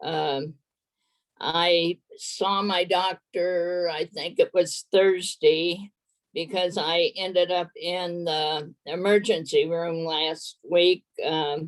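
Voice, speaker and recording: Very slowly and in a monotone, flat way, a woman speaks in a fairly low voice, with a dry, close sound with no echo. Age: 80s+. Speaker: recovering alcoholic sharing her story. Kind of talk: testimony. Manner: halting.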